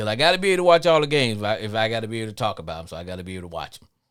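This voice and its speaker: A man talks in a fairly low pitch with a slight Louisiana accent. His pitch swings very widely. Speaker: sports podcast host. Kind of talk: live call-in show monologue. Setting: live stream.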